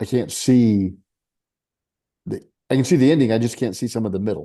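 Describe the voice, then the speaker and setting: A man with a dark, mellow tone speaks at a medium pitch with ordinary pitch variation and an American accent. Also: fairly quick pace. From Arkansas, Spain, New York and California. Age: 60s. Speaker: author and military veteran. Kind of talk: casual interview chat. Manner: halting, many fillers and restarts.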